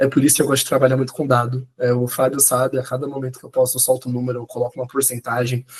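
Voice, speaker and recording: At a very fast pace, a man talks with a medium pitch and a somewhat breathy voice. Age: 20s. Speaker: Gen Z researcher and journalist. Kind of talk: casual podcast conversation. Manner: animated.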